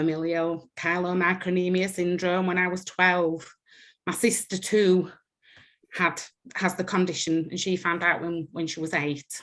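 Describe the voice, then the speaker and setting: A woman speaks with a strong Yorkshire accent at fairly low pitch and a fairly slow pace. Her intonation is a flat monotone, in a very clean recording with a silent background. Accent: thick Yorkshire. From northern England, West Yorkshire. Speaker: patient with rare disease. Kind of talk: personal testimony.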